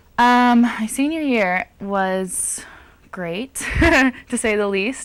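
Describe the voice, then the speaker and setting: Speaking very slowly, a woman with a Californian accent uses lively intonation. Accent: Californian American. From Southern California. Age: young. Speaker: college basketball player and music student. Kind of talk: interview.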